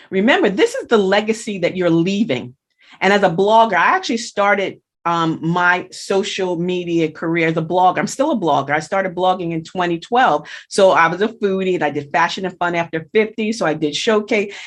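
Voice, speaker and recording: Against a quiet background, a woman with a medium pitch and ordinary pitch variation speaks in an unremarkable speaking voice. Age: 60s. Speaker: blogger and social media consultant. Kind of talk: interview chat.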